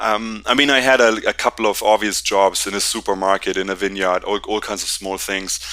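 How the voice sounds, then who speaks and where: A man's medium-pitched, bright and sharp voice with a German accent. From Germany, Berlin. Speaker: company founder and CEO. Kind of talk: interview. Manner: halting, many fillers.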